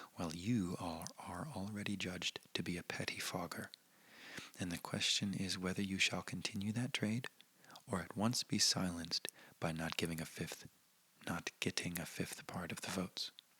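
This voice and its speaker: Someone whispers at a moderate pace in a gentle tone. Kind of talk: soft-spoken ASMR reading of a historical speech with commentary. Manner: soft-spoken, gentle.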